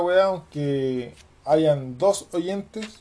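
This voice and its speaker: Here a man speaks with a Chilean accent. His tone is dark and mellow, though his pitch sits fairly high. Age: 30s. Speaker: podcaster. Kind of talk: casual monologue. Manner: very informal, slangy.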